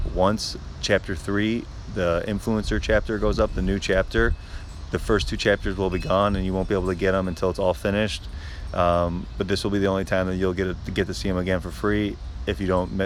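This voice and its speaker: A quiet voice with an American accent, a fairly quick pace and ordinary pitch variation. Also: man. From Chicago suburbs. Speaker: social media creator. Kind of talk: live stream Q&A. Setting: outdoors. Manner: halting.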